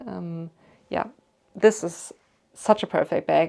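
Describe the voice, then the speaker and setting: Against a quiet background, a woman with a slight German accent speaks at a moderate pace. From Germany. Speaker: YouTuber. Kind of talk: casual Q&A chat. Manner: chatty, many fillers.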